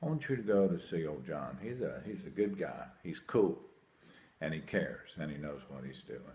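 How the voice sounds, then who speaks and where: Vocal fry runs through lively intonation at a moderate pace. Room echo is audible. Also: man. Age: 60s. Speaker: hearing aid patient. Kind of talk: testimonial. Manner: animated.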